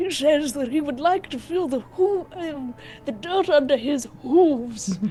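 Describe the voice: Over clear background noise, a put-on character voice speaks high and at a fairly slow pace.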